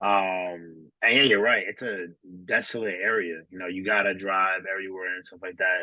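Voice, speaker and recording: A man's fairly low-pitched voice with a bright, sharp tone, in a New York accent at a moderate pace. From New York City, the Bronx. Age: 20s. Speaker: podcast host. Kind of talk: casual chat.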